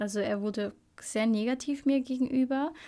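Ordinary pitch variation and a dark, mellow tone in a woman's fairly slow delivery. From Belgium (Flemish-speaking part), born in Albania. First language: Albanian (speaking German). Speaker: podcast co-host. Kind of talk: casual chat.

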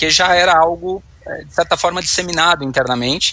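The man's voice sits at a fairly high pitch. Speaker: IT professional and academic. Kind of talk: panel discussion. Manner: halting.

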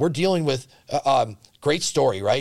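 A man with an American accent speaks in an ordinary speaking voice at a fairly quick pace, fairly high-pitched with lively intonation. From Central Wisconsin. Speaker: healthcare company CEO. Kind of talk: casual interview.

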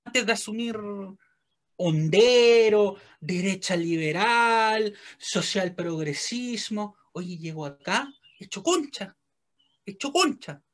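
A man with a Chilean accent speaks at a high pitch and a very slow pace, with long, frequent pauses. His intonation is lively, and his loudness swings widely. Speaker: podcast co-host. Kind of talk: casual comedic chat.

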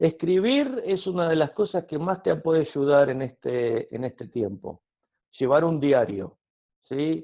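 Talking at a fairly slow pace, a man has a fairly high pitch and lively intonation. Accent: Argentine. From Argentina. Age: 50s. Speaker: counselor. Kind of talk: interview.

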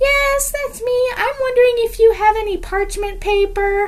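A woman does a put-on character voice at an extremely high pitch. She keeps a moderate pace. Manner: sweet, sing-song old lady.

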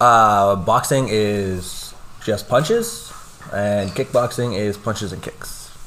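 A man speaking very slowly with a Canadian accent and big swings in loudness. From Lloydminster, Alberta, Canada. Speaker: kickboxing instructor and fighter. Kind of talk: interview with students. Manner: hesitant, many fillers.

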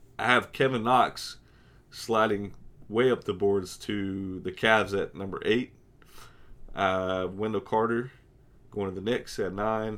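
A hoarse man speaks at a fairly slow pace with fairly even intonation, leaving long, frequent pauses. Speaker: podcast host. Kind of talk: casual banter, sports podcast.

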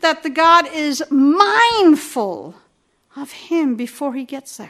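A woman's raised, projected voice with lively intonation. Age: 60s. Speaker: pastor. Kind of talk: sermon.

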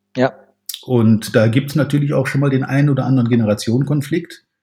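A man's medium-pitched, somewhat breathy voice with a dark, mellow tone and flat, monotone intonation. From Germany, Rhineland (Cologne-Aachen area). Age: 50s. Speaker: sales trainer. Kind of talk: podcast interview.

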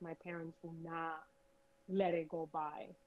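A woman at a fairly slow pace. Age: 30s. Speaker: guest. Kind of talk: casual chat.

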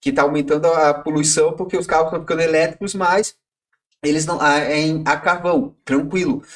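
The man's voice is high, with ordinary pitch variation, and his pace is fairly quick. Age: 30s. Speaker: podcast co-host, photo editor and programmer. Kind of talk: casual chat.

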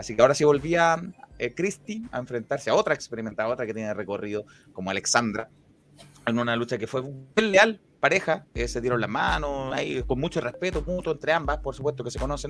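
Lively intonation from a man at medium pitch. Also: fairly quick pace. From Chile. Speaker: wrestling podcast host. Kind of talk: casual chat.

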